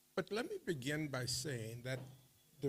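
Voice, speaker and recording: Somewhat breathy male voice at a medium pitch, with ordinary pitch variation. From Saint Lucia. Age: 70s. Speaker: school alumnus speaker. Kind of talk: dinner speech.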